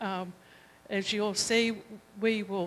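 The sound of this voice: At a fairly slow pace, a woman speaks with fairly even intonation, a medium pitch and a fairly bright tone.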